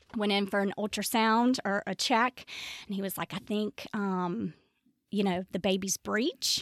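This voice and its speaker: In a Tennessee accent, a woman speaks fairly slowly at a medium pitch, the sound dry and close with no echo. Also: fairly even intonation. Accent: Southern US (Tennessee). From US South, Memphis, Tennessee. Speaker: bereaved mother. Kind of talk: interview testimony. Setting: studio.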